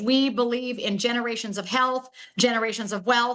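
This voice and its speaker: A woman's high-pitched voice, bright and sharp in tone, with ordinary pitch variation. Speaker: network marketing presenter, health coach. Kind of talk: sales pitch. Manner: fast; animated.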